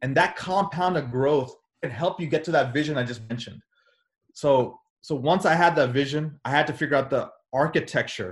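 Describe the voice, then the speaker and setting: Somewhat breathy and energetic, a man talks at a fairly quick pace and fairly high pitch with ordinary pitch variation. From US (born in India, moved at age two). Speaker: cardiologist and real estate investor. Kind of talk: casual interview.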